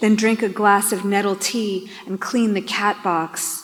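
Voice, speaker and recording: This is a woman with a plain, everyday voice and a medium pitch. She speaks at a fairly slow pace. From New York. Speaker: poet. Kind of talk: poetry reading.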